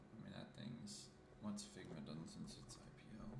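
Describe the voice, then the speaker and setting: Mumbling, a man with a fairly low pitch speaks in a room with audible echo. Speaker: market analyst streamer. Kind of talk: live market commentary. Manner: casual, mumbling.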